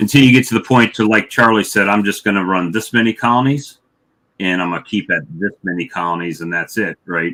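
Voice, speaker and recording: A man with an American accent speaks at a fairly quick pace in a fairly low pitch, his tone bright and sharp, his pitch varying in an ordinary way, on a very clean recording with a silent background. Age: 50s. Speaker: beekeeper. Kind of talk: casual chat. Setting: livestream.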